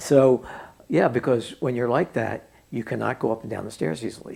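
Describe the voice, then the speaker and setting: A man speaks with an American accent and vocal fry. His pitch is medium and his pace moderate. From Pennsylvania, suburban Philadelphia. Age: 70s. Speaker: oral history interviewee. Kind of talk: oral history interview. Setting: at home.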